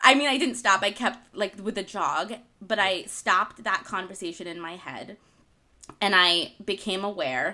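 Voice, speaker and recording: On a very clean recording with a silent background, a woman with an American accent speaks in an unremarkable speaking voice at a moderate pace and medium pitch, with ordinary pitch variation and big swings in loudness. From Argentina-born, raised in the US from infancy. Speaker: podcast co-host, wellness author. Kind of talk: casual chat. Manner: giggly, laughs often.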